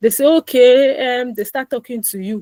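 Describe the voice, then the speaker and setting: Recorded with a dry, close sound and no echo, a woman uses a normal speaking voice with ordinary pitch variation. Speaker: personal finance educator. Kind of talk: live online finance class. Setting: online call.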